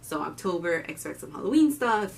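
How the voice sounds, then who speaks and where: A woman with a Miami accent at a moderate pace, amid noticeable background noise. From Miami, Florida (Cuban-American family). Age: 20s. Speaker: diabetes vlogger and student. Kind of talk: casual vlog introduction. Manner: animated.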